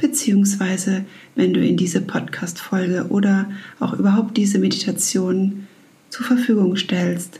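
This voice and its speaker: Over noticeable background noise, a woman with a gentle, warm tone talks at a moderate pace in a medium pitch, her intonation monotone and flat. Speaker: mental and emotion coach, meditation guide. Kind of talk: guided meditation. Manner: gentle, warm, soft-spoken.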